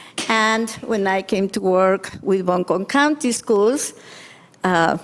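A woman with a Spanish accent talks at a very slow pace in a medium pitch with ordinary pitch variation, over noticeable background noise. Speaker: school family outreach specialist. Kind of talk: presentation to school board. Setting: board meeting.

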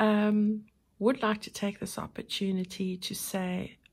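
Against a quiet background, the speaker is soft-spoken and somewhat breathy. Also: woman. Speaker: crafting YouTuber. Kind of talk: tutorial. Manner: hesitant with many fillers. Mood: warm, grateful.

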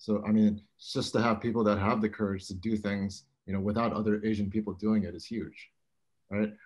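Over a quiet background, a man speaks at a fairly quick pace with monotone, flat intonation. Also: fairly low pitch for a man. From Hawaii. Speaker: apparel brand founder and former college baseball player. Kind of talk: roundtable discussion. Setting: video call. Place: home room. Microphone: video call.

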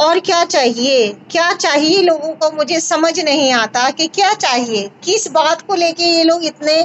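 Her pitch is high, and this woman's intonation is lively. She speaks at a fairly slow pace.

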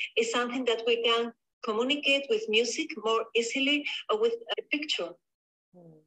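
With a Spanish accent and a bright, sharp tone, this voice moves at a moderate pace with ordinary pitch variation and long, frequent pauses. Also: woman, high pitch for a woman. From southern Spain. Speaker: painter. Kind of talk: interview. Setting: video call. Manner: halting.

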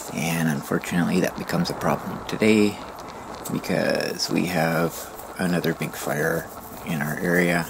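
Noticeable background noise sits behind a man whose very deep, low voice keeps fairly even intonation. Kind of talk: retrospective vlog narration. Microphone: phone near.

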